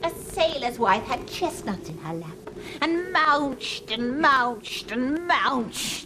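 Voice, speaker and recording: A woman's put-on character voice, high-pitched with very wide pitch swings and big swings in loudness, at a fairly slow pace over clear background noise. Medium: short film.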